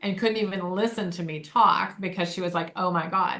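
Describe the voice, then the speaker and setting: Speaking fairly quickly with an American accent, a woman keeps a medium pitch and fairly even intonation. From Michigan, Detroit area. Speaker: podcast co-host, former leadership trainer. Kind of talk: casual chat.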